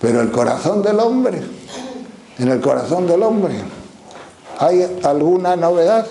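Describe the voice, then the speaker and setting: Amid noticeable background noise and audible room echo, a man with a high pitch speaks at a very slow pace with very wide pitch swings. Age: 80s+. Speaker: priest, spiritual teacher. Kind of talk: religious teaching talk.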